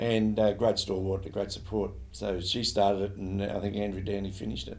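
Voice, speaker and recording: With an Australian accent, a man speaks at a fairly low pitch with vocal fry and fairly even intonation, and the room echo is audible. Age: 70s. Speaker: football league president. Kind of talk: interview. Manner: halting, many fillers.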